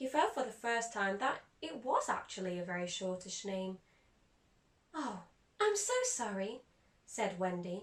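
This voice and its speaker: A woman with a fairly high pitch speaks at a fairly slow pace. Her voice is somewhat breathy, with long, frequent pauses. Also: ordinary pitch variation. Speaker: actor. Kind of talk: children's audiobook reading.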